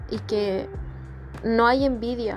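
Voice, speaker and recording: A woman with a Chilean accent, music in the background. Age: 30s. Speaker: podcast host and image consultant. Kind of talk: casual monologue. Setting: bedroom at home. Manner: relaxed.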